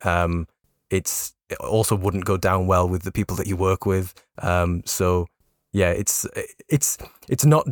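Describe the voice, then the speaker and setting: With a Geordie accent, a man speaks at a fairly low pitch with fairly even intonation, his voice dry and close with no echo in a very clean recording with a silent background. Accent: north-east English (Geordie). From north-east England, Newcastle area. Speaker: football journalist and podcast host. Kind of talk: casual chat. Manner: halting, many fillers.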